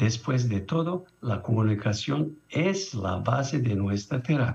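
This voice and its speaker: Very slowly, a man speaks with a non-native accent. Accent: foreign accent in Spanish. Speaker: international conference speaker, doctor. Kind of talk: conference presentation. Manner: halting.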